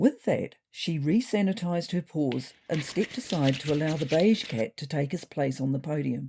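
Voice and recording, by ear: A woman speaks with a low pitch and a dark, mellow tone carrying a slightly husky edge. Her pitch varies in an ordinary way. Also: moderate pace.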